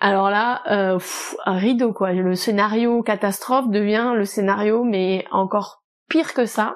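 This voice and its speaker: Speaking at a very slow pace, a woman keeps her loudness very even and her intonation fairly even at a medium pitch. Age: 30s. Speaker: novelist and publisher. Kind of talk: casual interview.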